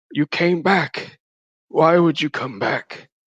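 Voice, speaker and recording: This man uses a raspy, put-on character voice with a high pitch and ordinary pitch variation. He talks at a very slow pace. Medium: actual play. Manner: fragile, fearful, haunted.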